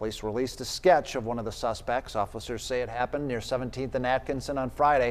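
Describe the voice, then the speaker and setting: A man talks at a very fast pace with hardly any pauses. His pitch sits in the medium range and his intonation stays fairly even. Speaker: television news anchor. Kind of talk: TV newscast anchor read.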